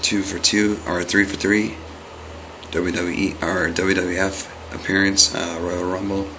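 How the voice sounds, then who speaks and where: In a monotone, flat intonation, a man with an American accent and a very deep, low voice talks at a fairly slow pace against noticeable background noise. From Los Angeles, California. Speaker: autograph collector who posts mail-day videos. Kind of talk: casual talk to camera, vlog. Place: home room.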